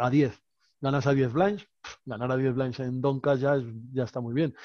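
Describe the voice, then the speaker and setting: Dark and mellow in tone, a man's medium-pitched voice moves at a fairly quick pace, the sound dry with no echo and the background quiet. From Spain. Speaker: professional poker player; guest. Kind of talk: casual chat. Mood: relaxed, anecdotal. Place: home room. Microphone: headset.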